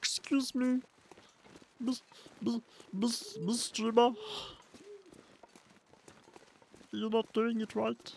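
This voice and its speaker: Put on as a character voice, the speech is fairly high, croaky and nasal, delivered at a very slow pace with long, frequent pauses. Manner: fussy, scolding.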